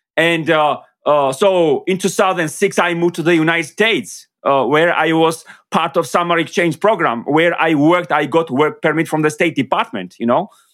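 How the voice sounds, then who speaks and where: With a Georgian accent, a man speaks at a moderate pace in a high pitch. His pitch varies in an ordinary way and his loudness stays very even. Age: 30s. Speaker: marketing consultant. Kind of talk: interview. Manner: halting.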